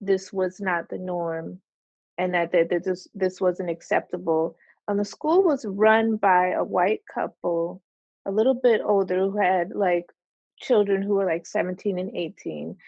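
An ordinary speaking voice from a woman with an American accent, at medium pitch, with ordinary pitch variation and a fairly slow pace. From New Jersey. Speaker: artist. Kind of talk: casual interview.

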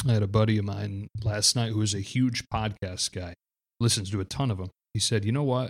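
Over a very clean recording with a silent background, a man speaks fairly quickly with a fairly low pitch and a normal speaking voice, the sound dry and close with no echo. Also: fairly even intonation. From Michigan, US. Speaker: baseball podcast host. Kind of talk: casual chat.

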